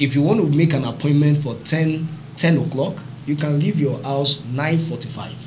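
Over light background noise, a man with a Nigerian accent speaks fairly slowly at a fairly high pitch. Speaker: summit co-convener and moderator. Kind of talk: panel discussion. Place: studio.

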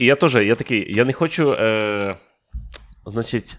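This man talks at a medium pitch. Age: 30s. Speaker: podcast host, stand-up comedian. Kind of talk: casual chat. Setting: studio. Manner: animated.

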